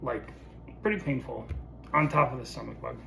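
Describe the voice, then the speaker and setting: Both clear background noise and a noticeable echo from the room can be heard on this track. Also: man. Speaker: vlogger sharing illness experience. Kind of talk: personal video diary. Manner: casual, many filler words.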